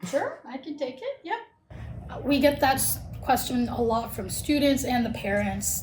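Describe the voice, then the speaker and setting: The speaker talks at a moderate pace with fairly even intonation. Noticeable background noise and audible room echo are present. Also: woman. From Turkey. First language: Turkish. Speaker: college recruitment manager. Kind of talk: podcast interview.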